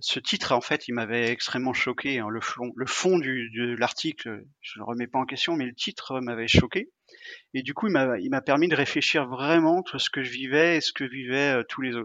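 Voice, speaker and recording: A man's medium pitch shows ordinary pitch variation as he talks at a moderate pace. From Brittany, France. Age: 40s. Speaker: sportsman living with dialysis. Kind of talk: interview conversation. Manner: hesitant with fillers and repetitions.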